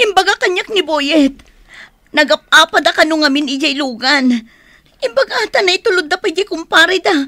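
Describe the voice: Using a put-on character voice, a woman speaks at a moderate pace with an extremely high pitch, a bright, sharp tone and lively intonation.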